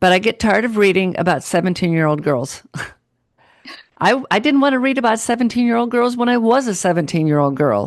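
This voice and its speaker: Against a quiet background, a woman speaks at a medium pitch with lively intonation. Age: 60s. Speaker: podcast host and author. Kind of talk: interview.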